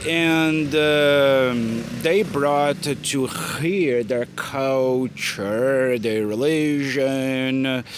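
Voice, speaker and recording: Very slowly and at very even loudness, a man with a Brazilian Portuguese accent speaks at medium pitch with ordinary pitch variation, over noticeable background noise. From Brazil, Minas Gerais. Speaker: English teacher. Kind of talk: casual talk to camera. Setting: outdoors in a town square.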